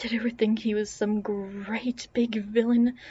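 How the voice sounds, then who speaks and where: The voice is somewhat breathy. It moves at a moderate pace with monotone, flat intonation. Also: woman. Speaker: audiobook narrator. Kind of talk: reading aloud. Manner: mumbling at times.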